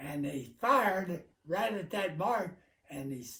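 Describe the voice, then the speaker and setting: A man talks at a fairly slow pace in a high pitch. His intonation is lively. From rural Illinois. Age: 80s+. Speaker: war veteran. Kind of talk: interview answer.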